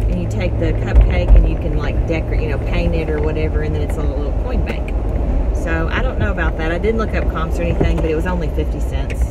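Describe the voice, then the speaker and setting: A woman talks at a very fast pace. Loud background noise fills the recording. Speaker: garage sale reseller vlogger. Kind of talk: casual vlog chat. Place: car. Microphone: phone near.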